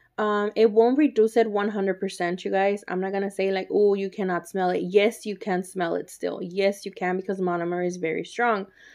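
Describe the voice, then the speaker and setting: A woman's medium-pitched voice with a Spanish accent, fairly even intonation and a fairly quick pace, over a quiet background. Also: hardly any pauses. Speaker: nail artist YouTuber. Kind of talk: tutorial. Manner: casual, chatty.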